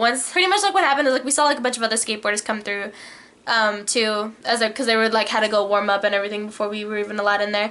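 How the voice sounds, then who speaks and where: Animated, very fast woman's voice at a fairly high pitch, with noticeable background noise. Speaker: vlogger. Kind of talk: casual chat.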